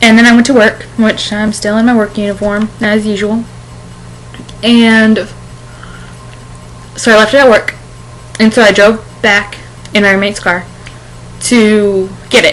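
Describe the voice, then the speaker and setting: A woman speaks at a fairly high pitch in a monotone, flat way, with long, frequent pauses and a fairly slow pace. Noticeable background noise runs underneath. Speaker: vlogger. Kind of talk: casual video blog. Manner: halting, self-correcting.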